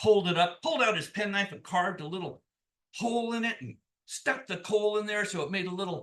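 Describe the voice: Someone does plain reading aloud. Nothing much stirs behind it, as the background is quiet.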